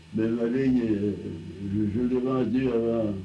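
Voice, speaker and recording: Very slow and fairly even in intonation, a man talks in a dark, mellow tone at medium pitch. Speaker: telephone line builder, early telephone pioneer. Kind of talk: oral history interview answer. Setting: archival recording.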